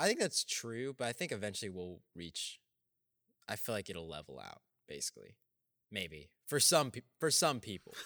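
A man at medium pitch speaks at a moderate pace with a bright, sharp tone, vocal fry, very wide pitch swings and big swings in loudness. The recording is very clean, dry and close, with no echo and a silent background. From Texas. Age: young. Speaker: podcast co-host, college student. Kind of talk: casual chat.

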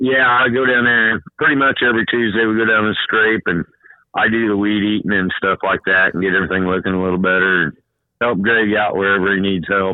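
A man talks fairly quickly in a fairly low pitch with ordinary pitch variation. He has an unremarkable speaking voice, and his loudness stays very even. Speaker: track tech inspector and former racer.

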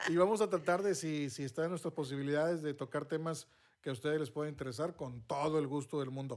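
Very fast speech with ordinary pitch variation on a very clean recording with a silent background. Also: man, fairly high pitch for a man. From northern Mexico, Monterrey. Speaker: podcast host, former radio announcer. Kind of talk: casual chat.

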